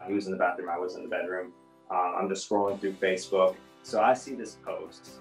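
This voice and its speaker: Audible room echo with faint music in the background. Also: man. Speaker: interviewee. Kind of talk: interview answer. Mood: reflective, personal. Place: home room.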